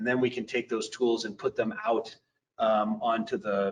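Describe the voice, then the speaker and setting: A man with lively intonation. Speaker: company representative giving plant tour. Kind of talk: guided product tour. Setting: video call. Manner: fast.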